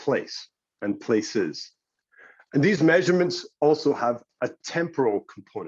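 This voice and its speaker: With a British accent, a man talks at a fairly slow pace, leaving long, frequent pauses, in a dry, close sound with no echo. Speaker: geospatial analytics company representative. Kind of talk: conference presentation.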